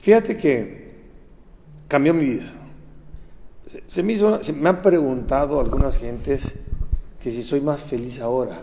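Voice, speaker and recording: A man with a fairly high pitch speaks at a fairly slow pace, with lively intonation and big swings in loudness. Long, frequent pauses break up his speech, and audible room echo surrounds it. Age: 60s. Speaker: pediatrician and author. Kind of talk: interview. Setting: studio.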